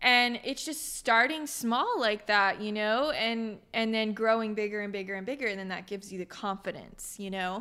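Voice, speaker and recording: Her tone is bright and sharp, at a fairly high pitch. The woman speaks at a moderate pace. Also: ordinary pitch variation, very clean recording, silent background. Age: 20s. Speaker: filmmaker. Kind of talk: interview.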